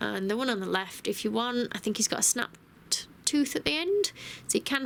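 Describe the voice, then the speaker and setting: Noticeable background noise runs under this recording. A woman with a British accent speaks at a fairly quick pace. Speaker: cake decorator. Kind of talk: cake decorating tutorial voice over. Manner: casual, friendly.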